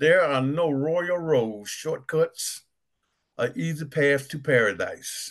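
A man's fairly high pitch at a very slow pace, with ordinary pitch variation against a quiet background. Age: 60s. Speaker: retired business owner. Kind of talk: group study discussion. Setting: video call. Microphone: webcam.

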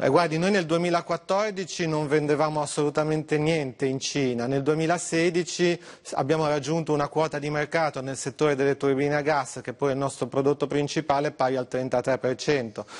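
Moderate in pace, a man talks with a fairly high pitch. He has a plain, everyday voice. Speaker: industry executive. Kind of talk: TV interview. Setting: remote video link.

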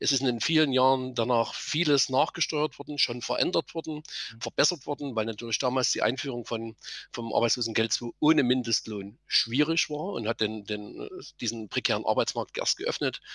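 In a quiet, dry recording with no echo, a man talks at a moderate pace with ordinary pitch variation. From Saxony, Germany. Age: 50s. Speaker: political candidate, former train driver; candidate. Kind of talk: political debate. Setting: video call. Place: office. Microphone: headset.

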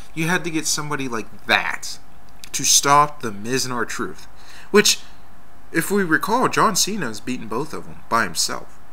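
At a moderate pace, a man talks in a fairly high pitch with very wide pitch swings. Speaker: wrestling fan video blogger. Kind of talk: casual video response rant about wrestling matches. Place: home room. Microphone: webcam.

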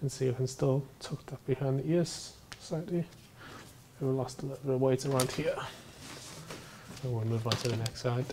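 Against noticeable background noise, a man speaks at a moderate pace with fairly even intonation and long, frequent pauses. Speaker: barber. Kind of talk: haircut tutorial narration. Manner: soft-spoken. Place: shop.

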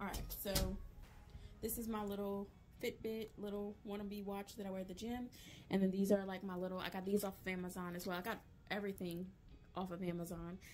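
Over music in the background, a woman with an American accent talks at a fairly quick pace and medium pitch, her intonation monotone and flat. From Louisiana. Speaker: voice actor. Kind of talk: casual vlog talk to camera. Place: home room. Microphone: phone near.

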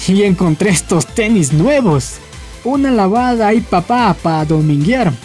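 Faint music plays in the background while the speech moves at a fairly slow pace. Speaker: meme video narrator. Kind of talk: meme caption narration. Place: bathroom.

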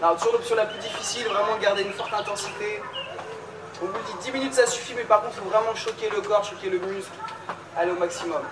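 The speech is very fast, with noticeable background noise behind it. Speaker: fitness coach. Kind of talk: workout instruction. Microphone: camera far.

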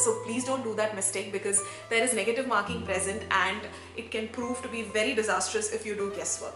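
Against clear music in the background, a woman talks at a fairly quick pace in a monotone, flat intonation. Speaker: education vlogger. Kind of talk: tips vlog to camera. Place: home room.

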